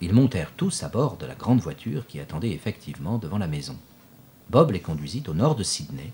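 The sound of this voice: Speech delivered in an unforced reading voice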